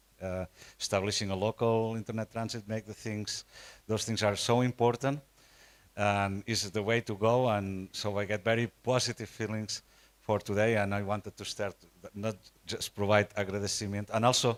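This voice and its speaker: A man with a Catalan accent talks at a moderate pace and fairly low pitch in a monotone, flat intonation, the sound dry and close with no echo. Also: very clean recording, silent background. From Spain, Catalonia. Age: 60s. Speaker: nonprofit network representative. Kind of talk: conference presentation. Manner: halting, many fillers and repetitions.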